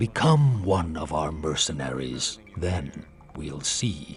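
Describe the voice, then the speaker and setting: A very deep, low-pitched put-on character voice from a man at a very slow pace. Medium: game stream. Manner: patronizing.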